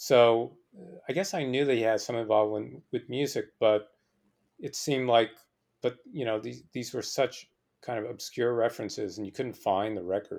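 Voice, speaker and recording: An unremarkable speaking voice: a man with an American accent, medium pitch, ordinary pitch variation and a moderate pace, on a very clean recording with a silent background. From New Jersey. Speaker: musician and writer. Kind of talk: interview.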